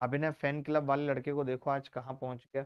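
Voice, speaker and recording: Shouting loudly at a moderate pace, a man speaks with a fairly high pitch. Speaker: maths teacher. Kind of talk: online class lecture. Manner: loud, shouting; animated.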